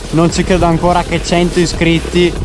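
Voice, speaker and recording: Clear music plays in the background while the voice, dry with no echo, moves at a moderate pace. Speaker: motovlogger rider. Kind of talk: casual vlog chat. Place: motorbike. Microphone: helmet.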